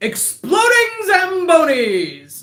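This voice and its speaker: The pitch is pushed extremely high. The voice is a put-on character one. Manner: booming.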